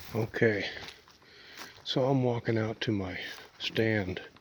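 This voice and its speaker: Over noticeable background noise, a man at medium pitch speaks at a very slow pace with fairly even intonation. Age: 60s. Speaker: outdoors vlogger and hunter. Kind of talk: casual vlog talk to camera. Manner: hesitant, filler-heavy.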